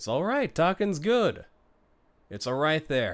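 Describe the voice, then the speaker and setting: A man puts on a gruff, high-pitched character voice with very wide pitch swings, speaking at a fairly slow pace. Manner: calming, authoritative.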